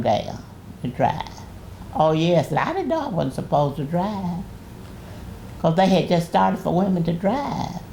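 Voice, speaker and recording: Audible room echo surrounds a woman whose fairly low voice moves at a moderate pace with lively intonation. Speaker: great-grandmother, retired pastor. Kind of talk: oral history interview. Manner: halting.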